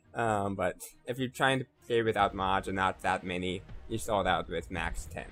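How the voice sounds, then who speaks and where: Ordinary pitch variation at a moderate pace, set against music in the background. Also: man, fairly low pitch for a man. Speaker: gaming youtuber. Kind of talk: tutorial. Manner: hesitant, many fillers.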